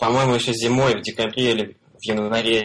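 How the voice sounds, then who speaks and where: A man at a medium pitch and a moderate pace. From Russia, Belgorod. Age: 20s. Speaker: frontend web developer, freelancer. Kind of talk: casual interview. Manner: hesitant, many fillers.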